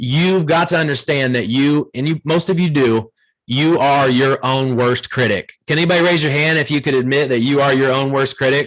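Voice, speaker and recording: A man with an American accent speaks in a fairly high pitch and an energetic tone, with very even loudness, ordinary pitch variation and hardly any pauses. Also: moderate pace. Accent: Ohio accent people mistake for Southern. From Ohio. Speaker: video marketing trainer for real estate agents. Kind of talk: training workshop. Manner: energetic, conversational.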